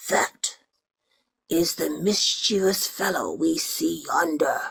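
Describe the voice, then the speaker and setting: This put-on character voice is raspy and sits at a middle pitch. It moves at a very slow pace. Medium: read story.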